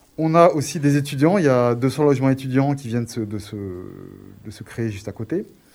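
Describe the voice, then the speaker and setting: Here a man speaks at a moderate pace and medium pitch with ordinary pitch variation. His is an unremarkable speaking voice. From Grenoble, France. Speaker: community project proposer. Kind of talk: radio interview.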